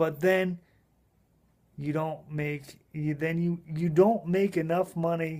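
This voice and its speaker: Fairly slow and high-pitched, a man's voice has a dark, mellow tone and ordinary pitch variation. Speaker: blogger and online marketer. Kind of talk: casual personal video monologue. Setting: home spare bedroom, late at night. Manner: halting, stumbling over words.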